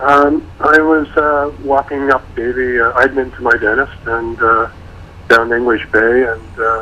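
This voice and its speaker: A man in a plain, everyday voice speaks fairly slowly at medium pitch with fairly even intonation. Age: 60s. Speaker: retired photographer, interviewee. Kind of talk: radio interview.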